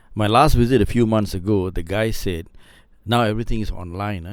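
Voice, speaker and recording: A man is talking at a fairly quick pace. His pitch moves in an ordinary way. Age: 60s. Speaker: podcast guest. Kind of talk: casual chat. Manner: halting, frequent repetitions.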